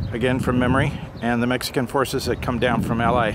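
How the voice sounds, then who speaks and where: Noticeable background noise and audible room echo surround a man of medium pitch who talks at a fairly quick pace. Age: 60s. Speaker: amateur history vlogger. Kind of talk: casual vlog narration. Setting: outdoors by a busy road. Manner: hesitant, many filler words.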